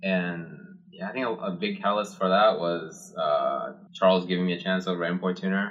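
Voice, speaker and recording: There is noticeable background noise as a man with a Japanese accent talks at a fairly quick pace. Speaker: car builder, podcast co-host. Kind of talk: casual chat. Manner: casual, filler-heavy.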